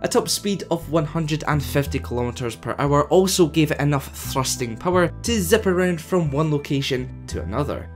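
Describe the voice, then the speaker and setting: Someone with a Scottish accent speaks at a moderate pace with hardly any pauses. Music plays in the background. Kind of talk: lore narration.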